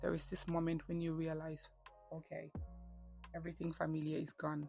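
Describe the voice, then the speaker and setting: Over music in the background, a woman speaks in a very deep, low pitch with monotone, flat intonation. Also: fairly quick pace. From The Gambia, West Africa. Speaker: graduate student and lifestyle vlogger. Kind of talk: personal story talk to camera. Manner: candid, reflective.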